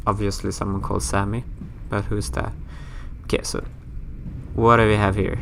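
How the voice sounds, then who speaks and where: With a Swedish accent, the speaker talks at a moderate pace with long, frequent pauses, amid audible room echo and noticeable background noise. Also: man. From Sweden. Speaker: gaming youtuber. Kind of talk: let's play commentary. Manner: casual, chatty.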